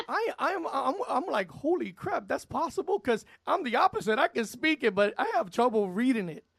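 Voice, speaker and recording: In an American accent, a man talks in an animated tone at an extremely high pitch with very wide pitch swings and hardly any pauses, with a dry, close sound and no echo. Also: moderate pace. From New York City, Spanish Harlem. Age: 50s. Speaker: radio DJ. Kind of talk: radio interview.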